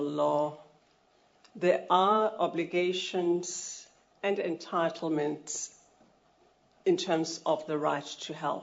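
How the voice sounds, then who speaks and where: Leaving long, frequent pauses, a woman speaks very slowly at a fairly low pitch with fairly even intonation. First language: not English (African language). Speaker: health rights advocate, NGO founder. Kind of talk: formal testimony at a public hearing. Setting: public hearing venue. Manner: formal.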